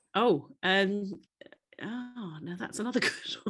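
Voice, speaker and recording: A woman's voice sits at a fairly high pitch and sounds somewhat breathy. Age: 60s. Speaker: interviewee with a podcast. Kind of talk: interview.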